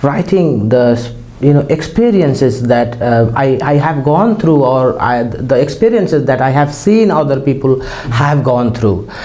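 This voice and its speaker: With hardly any pauses, a man talks fairly slowly at a medium pitch, his intonation lively and his loudness very even. Audible room echo and noticeable background noise are present. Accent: Nepali. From Nepal. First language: Nepali. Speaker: poet and lecturer. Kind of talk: interview. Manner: halting.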